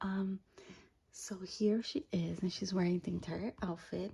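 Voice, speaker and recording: A woman is whispering at a fairly slow pace. Her voice is somewhat breathy. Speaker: doll collector YouTuber. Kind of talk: unboxing review. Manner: halting, many fillers.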